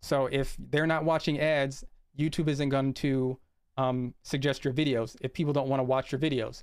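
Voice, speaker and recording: A man speaks in a fairly high pitch with fairly even intonation, recorded very cleanly against a silent background. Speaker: YouTube creator and IT project manager giving a talk. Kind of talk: presentation with screen share. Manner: fast.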